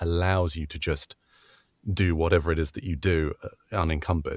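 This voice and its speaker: Speaking at a moderate pace with a British accent, a man with a very deep, low pitch keeps a fairly even intonation on a very clean recording with a silent background. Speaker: voice actor. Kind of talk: interview answer.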